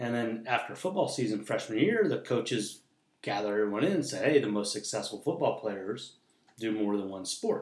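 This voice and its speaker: A man's normal speaking voice at medium pitch, fairly quick in pace and lively in intonation. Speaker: former high school wrestler. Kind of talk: casual chat. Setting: at home.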